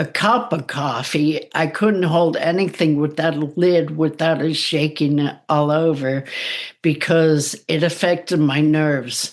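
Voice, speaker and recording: A woman's very deep, low voice at a fairly slow pace, with very even loudness. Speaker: psychic medium and spiritual coach. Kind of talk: interview testimony. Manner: careful, slower enunciation after speech damage; hesitant, with fillers.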